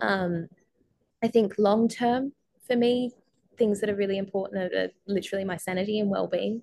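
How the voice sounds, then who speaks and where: A woman talks at a moderate pace and medium pitch, her tone dark and mellow with fairly even intonation. Long, frequent pauses break up her speech, and the sound is dry and close with no echo. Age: 20s. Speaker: motorcycle racing team founder and marketing agency owner. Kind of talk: podcast interview.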